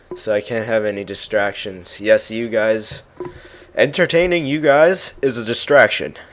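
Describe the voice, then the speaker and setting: A man speaks at a medium pitch and moderate pace, his intonation lively. Noticeable background noise runs underneath. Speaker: gamer casting his own matches. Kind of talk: live game commentary. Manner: animated.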